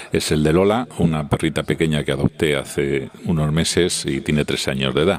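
A man speaks at a very deep, low pitch and a moderate pace, with hardly any pauses and ordinary pitch variation. Background noise is noticeable. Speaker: listener sending voice message. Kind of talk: voice message.

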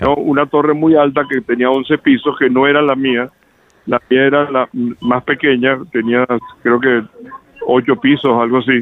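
The man's voice sits at medium pitch with very even loudness. He talks at a fairly slow pace with monotone, flat intonation. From Venezuela. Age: 70s. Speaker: fire witness, resident. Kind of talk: phone interview. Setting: phone call. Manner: halting, many repetitions.

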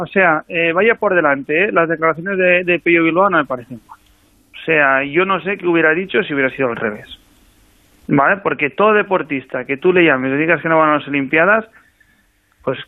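Speaking fairly quickly, a man with a fairly high pitch uses a normal speaking voice with ordinary pitch variation. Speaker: national cycling team coach. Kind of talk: radio interview.

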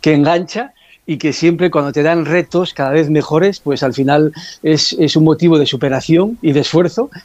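At a moderate pace, a man with an unremarkable speaking voice talks at a fairly high pitch, with ordinary pitch variation and very even loudness. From Asturias, Spain. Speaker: former football referee. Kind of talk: radio interview.

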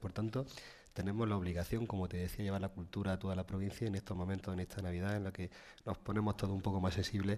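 A man's fairly low, dark, mellow voice stays monotone with flat intonation. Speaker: provincial council president and town mayor. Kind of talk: radio interview.

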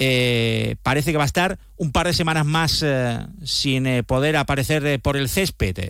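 At a fairly slow pace, a man speaks in a plain, everyday voice pitched fairly high. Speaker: sports reporter. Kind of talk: sports news report.

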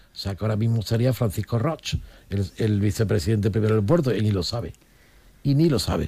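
Ordinary pitch variation marks speech at a fairly quick pace. The tone is dark and mellow, and somewhat breathy. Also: man, fairly low pitch for a man. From Olivenza, Extremadura, Spain. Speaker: political commentator, former regional politician. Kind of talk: radio panel discussion.

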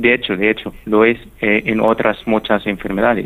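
A man speaks slowly-ish in a fairly low voice, his intonation monotone and flat at a fairly slow pace. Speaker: neuroscience researcher. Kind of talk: radio interview.

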